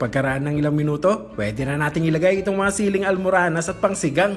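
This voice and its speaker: Music plays in the background as a man speaks at a fairly high pitch and a fairly quick pace, with ordinary pitch variation. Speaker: cooking vlogger. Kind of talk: voiceover narration for cooking vlog.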